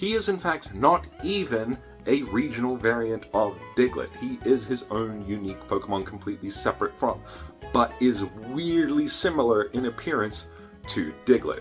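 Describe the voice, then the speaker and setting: Music plays in the background as the speaker talks at a moderate pace with an Australian accent. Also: man. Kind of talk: casual talk to camera. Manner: upbeat, chatty.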